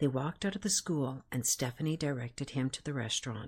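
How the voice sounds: A natural reading voice, its pitch moving in a normal way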